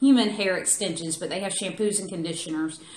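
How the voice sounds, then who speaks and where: A woman with a Southern US accent speaks at a medium pitch, with noticeable background noise and audible room echo. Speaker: beauty product reviewer. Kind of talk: product review. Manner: casual, chatty.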